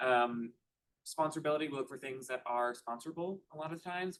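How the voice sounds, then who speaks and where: The pace is fairly quick. Pitch varies in an ordinary way. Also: man. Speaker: park programming staff presenter. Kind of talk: board meeting presentation. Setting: meeting room, also streamed on Zoom. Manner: fast; many filler ums.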